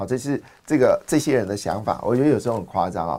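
Very fast speech from a man of medium pitch, with vocal fry. The recording is very clean, with a silent background. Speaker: finance podcast host. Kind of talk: market commentary monologue. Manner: animated, many fillers.

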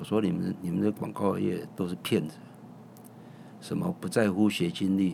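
A man with a very deep, low voice and a dark, mellow tone speaks at a moderate pace with ordinary pitch variation. Vocal fry runs through his speech, which has long, frequent pauses. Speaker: chef and restaurant owner. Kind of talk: casual interview.

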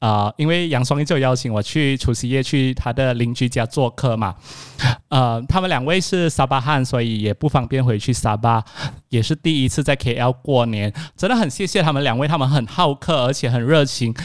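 Speaking at a moderate pace, a man uses an animated tone with ordinary pitch variation. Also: medium pitch for a man. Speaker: podcast host. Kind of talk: casual chat. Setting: video call.

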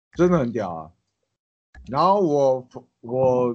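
With lively intonation, a man speaks in an ordinary speaking voice at a medium pitch. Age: 20s. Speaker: ex-convict turned chef. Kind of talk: casual chat.

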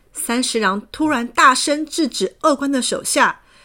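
A woman speaks at a moderate pace in a high voice, her intonation lively and her tone bright and sharp.

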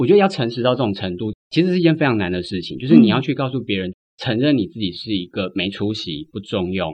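A man talks at a fairly quick pace in a fairly low voice. His pitch swings very widely. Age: 30s. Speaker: writer. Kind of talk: interview conversation.

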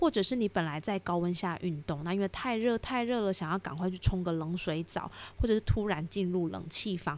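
A woman's plain, everyday voice at a medium pitch, fairly quick with hardly any pauses and ordinary pitch variation. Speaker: podcast host, aromatherapy educator. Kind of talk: solo educational podcast. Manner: friendly, conversational.

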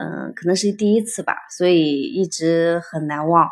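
A woman talks at a fairly low pitch and a moderate pace. Her pitch varies in an ordinary way. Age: 30s. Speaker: piano teacher and art school owner. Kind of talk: interview about personal growth. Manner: halting, many fillers.

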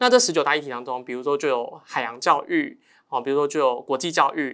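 At a very fast pace, a man with a fairly high pitch and a bright, sharp tone keeps his intonation fairly even, captured on a very clean recording with a silent background. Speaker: high school Chinese teacher. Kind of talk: casual chat.

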